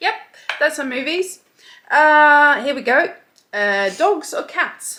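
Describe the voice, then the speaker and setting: A woman speaks in a high, raised, projected voice with very wide pitch swings. Her pace is very slow, broken by long, frequent pauses. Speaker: lifestyle youtuber. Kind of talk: casual chat. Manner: stuttering; hesitant, many fillers.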